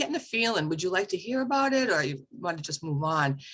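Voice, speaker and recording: Here is a woman with a plain, everyday voice and an American accent. Her pitch is medium and her intonation lively. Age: 60s. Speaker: spiritual medium and reverend. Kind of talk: casual chat.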